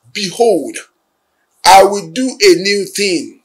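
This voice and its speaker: The man's voice sits high in pitch and swings very widely up and down. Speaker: church leader and channel head. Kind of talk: religious new year address. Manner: formal. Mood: solemn, hopeful. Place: office.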